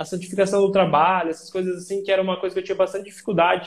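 This man speaks with a high pitch. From Paraná, Brazil (small town near Umuarama). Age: 20s. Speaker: video editor. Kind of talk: casual chat. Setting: video call from a small room at home. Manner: halting, many fillers and repetitions.

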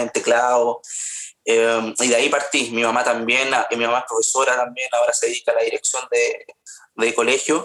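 With a Chilean accent, a man speaks at a moderate pace and medium pitch. His tone is bright and sharp, his intonation a flat monotone. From Chile, Paine (central Chile). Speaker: singer. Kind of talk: interview conversation.

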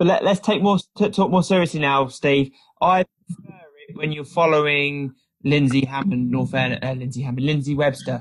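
Somewhat breathy, a man talks at a moderate pace with a fairly high pitch and ordinary pitch variation. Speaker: podcast co-host. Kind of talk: casual interview chat.

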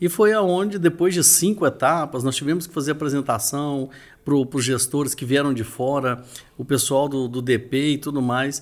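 An unremarkable speaking voice at a moderate pace with ordinary pitch variation, recorded very cleanly over a silent background. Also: man, fairly high pitch for a man. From Minas Gerais, Brazil (Uberlândia, Triângulo Mineiro). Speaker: real estate trainer and event organizer. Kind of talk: casual interview.

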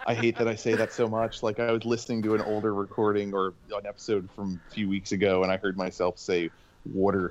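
A man with an American accent talks at a very fast pace in a fairly low pitch. His intonation is monotone and flat over a quiet background. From Pennsylvania. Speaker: podcast co-host. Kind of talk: casual chat.

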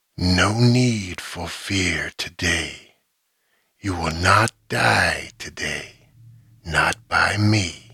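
In a put-on character voice, a man hisses and rasps at a very slow pace and a fairly low pitch. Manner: hissing.

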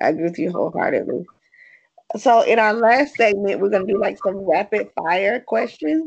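A woman with a Southern US accent talks at a moderate pace and medium pitch. Her intonation is lively. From US South. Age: 40s. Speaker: podcast host. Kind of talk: interview; casual monologue.

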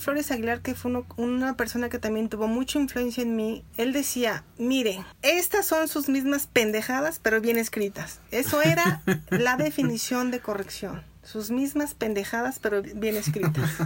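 On a very clean recording with a silent background, a woman speaks at a high pitch with lively intonation. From Mexico, Irapuato, Guanajuato. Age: 40s. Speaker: editor and literature teacher. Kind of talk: interview conversation.

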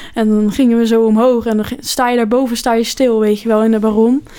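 A woman's fairly high, monotone and flat delivery at a very fast pace, with noticeable background noise. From Netherlands, near Rotterdam. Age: 20s. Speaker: podcast co-host. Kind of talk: casual chat.

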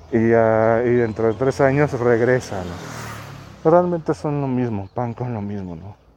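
Dark and mellow, a man's voice sits at a medium pitch with ordinary pitch variation and a fairly slow pace. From Mexico. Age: 30s. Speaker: podcast host. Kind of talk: casual monologue while walking. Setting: outdoors, walking in neighborhood. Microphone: muffled by two face masks and face shield.

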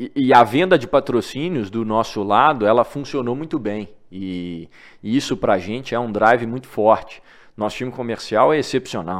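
A man talks in a plain, everyday voice at medium pitch and a moderate pace, with lively intonation. His loudness swings widely against a quiet background. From Minas Gerais, Brazil (Divinópolis). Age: 20s. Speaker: newsletter founder. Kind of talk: interview conversation.

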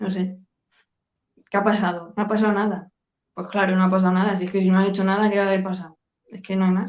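Her delivery is very fast yet full of long, frequent pauses, as a woman at medium pitch speaks in a monotone with flat intonation. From Spain, Badajoz (Extremadura). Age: 30s. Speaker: sales closer. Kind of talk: interview. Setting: video call.

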